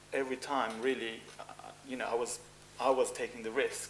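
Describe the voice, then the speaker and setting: There is noticeable background noise behind a man whose pitch sits fairly high. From Cyprus. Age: 40s. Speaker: fashion designer. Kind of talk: interview.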